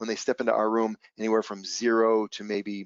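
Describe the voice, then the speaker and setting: This man talks at a fairly low pitch. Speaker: trading educator. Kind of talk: webinar presentation. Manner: fast; animated.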